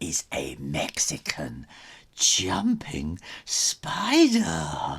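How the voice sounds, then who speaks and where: A man performs a put-on character voice in a theatrical tone at a very slow pace. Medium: read story. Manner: sly, theatrical.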